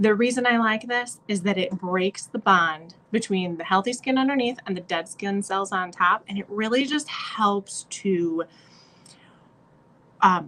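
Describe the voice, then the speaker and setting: Speaking at a fairly slow pace, a woman uses an unremarkable speaking voice of medium pitch with ordinary pitch variation. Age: 40s. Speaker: beauty consultant vlogger. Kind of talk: tutorial. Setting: hotel room. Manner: casual with filler words.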